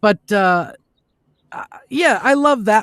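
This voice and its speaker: A man with an American accent speaks with very wide pitch swings on a very clean recording with a silent background. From Minnesota. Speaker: voice actor. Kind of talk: interview answer. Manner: casual, chatty.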